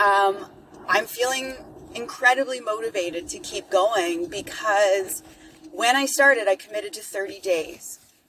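Speaking at a fairly slow pace, a woman uses lively intonation and a fairly high pitch. Noticeable background noise is present. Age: 50s. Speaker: podcaster and fitness coach. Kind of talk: casual solo monologue. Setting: in a car.

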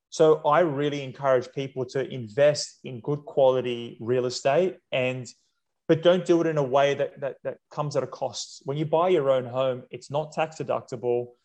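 Against a quiet background, a man with an Australian accent and a fairly high pitch talks at a moderate pace with ordinary pitch variation. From Sydney, Australia (inner west). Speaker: real estate investment company co-founder. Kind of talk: interview conversation.

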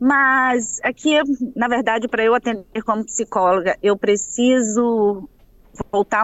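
Here a woman talks at a fairly slow pace in an unremarkable speaking voice. Her pitch is fairly high and her intonation fairly even. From Espírito Santo, Brazil (Baixo Guandu, later Vitória). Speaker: psychologist. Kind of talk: interview.

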